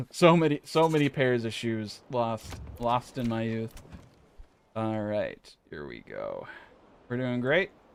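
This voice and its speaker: A man with a strong American accent, medium pitch, ordinary pitch variation, an animated tone, big swings in loudness, a fairly slow pace and long, frequent pauses. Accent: thick American. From California. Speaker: gaming streamer. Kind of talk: gameplay commentary. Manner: casual, animated.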